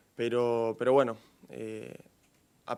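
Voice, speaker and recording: Very slowly, a man speaks with an Argentine accent. His medium-pitched delivery is monotone and flat. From Argentina. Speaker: professional footballer. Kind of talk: press conference.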